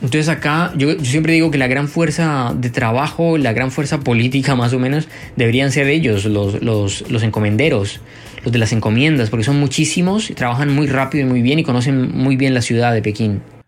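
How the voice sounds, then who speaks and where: This man's pitch varies in an ordinary way, with noticeable noise behind him. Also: medium pitch for a man, fairly quick pace, very even loudness. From Colombia, Bogotá. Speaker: journalist and writer. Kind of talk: interview. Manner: halting, many fillers and repeats.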